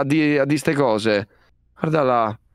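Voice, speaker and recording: Against a quiet background, a man with a fairly high pitch and lively intonation comes through in a dry sound with no echo. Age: 20s. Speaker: streamer. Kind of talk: casual chat. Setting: video call. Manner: halting. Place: home room. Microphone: headset.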